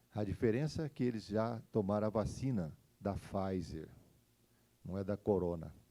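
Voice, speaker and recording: A man with a fairly low voice and a dark, mellow tone talks at a moderate pace with ordinary pitch variation. Long, frequent pauses break up his speech. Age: 60s. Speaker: pastor. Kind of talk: sermon. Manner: halting.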